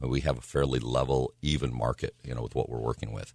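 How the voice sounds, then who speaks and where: A man talks at a very fast pace with vocal fry, recorded in a dry, close sound with no echo. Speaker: real estate professional. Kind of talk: casual chat.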